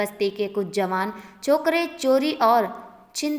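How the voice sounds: The natural reading voice carries lively intonation throughout.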